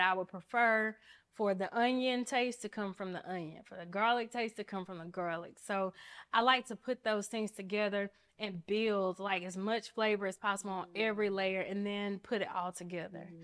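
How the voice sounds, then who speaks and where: With an Alabama accent, a woman talks at a moderate pace and medium pitch, her intonation fairly even, on a very clean recording with a silent background. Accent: Southern US, Alabama. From Mobile, Alabama (US South). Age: 30s. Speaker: attorney. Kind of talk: casual interview.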